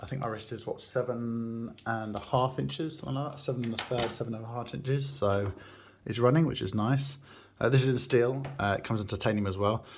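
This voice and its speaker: A man talks at a fairly quick pace. His medium-pitched voice is somewhat breathy. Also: ordinary pitch variation. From England. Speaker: watch enthusiast YouTuber. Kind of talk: unboxing review. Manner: casual, hesitant with fillers.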